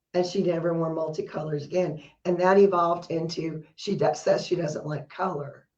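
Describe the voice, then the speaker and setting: In a room with audible echo, a woman speaks in a fairly low, flat monotone. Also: moderate pace. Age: 60s. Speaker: podcast co-host. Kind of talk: casual chat.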